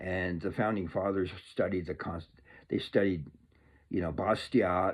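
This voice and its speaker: At a fairly slow pace, a man with a fairly low voice speaks with an American accent. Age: 60s. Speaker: political commentator. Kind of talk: casual monologue. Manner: animated.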